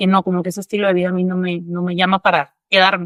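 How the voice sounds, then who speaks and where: A woman at a very fast pace and medium pitch, with a dry, close sound with no echo. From northern Mexico. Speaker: psychologist. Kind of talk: podcast interview.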